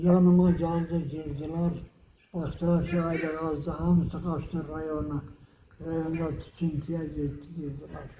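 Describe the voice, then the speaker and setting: Amid noticeable background noise, a man with a Meskhetian accent and a fairly high pitch speaks at a very slow pace in a monotone, flat intonation. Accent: Meskhetian Turkish dialect. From Meskhetian Turk (Ahiska). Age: 80s+. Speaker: exile survivor. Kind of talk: oral history interview answer.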